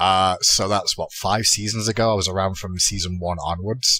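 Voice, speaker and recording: A man's bright, sharp tone in an English accent. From England, Manchester. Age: 30s. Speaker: esports commentator. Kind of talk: casual podcast chat. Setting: podcast recording.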